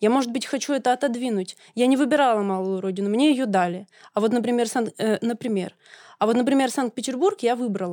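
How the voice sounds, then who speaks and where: Dark, mellow, fairly high-pitched female voice at a fairly quick pace with ordinary pitch variation, dry and close with no echo, on a very clean recording with a silent background. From Russia, Kemerovo region (Siberia). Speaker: podcast co-host. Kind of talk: debate. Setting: studio.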